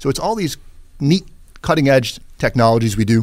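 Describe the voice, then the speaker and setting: A man speaks in a normal speaking voice at medium pitch with lively intonation, on a very clean recording with a silent background. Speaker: chiropractor. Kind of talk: radio interview. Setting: studio.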